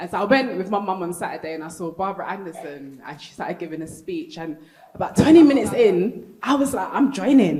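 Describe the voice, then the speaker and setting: In a London accent, a woman at a medium pitch speaks at a very fast pace with very wide pitch swings and big swings in loudness, with audible room echo and noticeable background noise. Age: 30s. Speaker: panel speaker sharing personal story. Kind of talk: live panel testimony. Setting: stage with audience at convention.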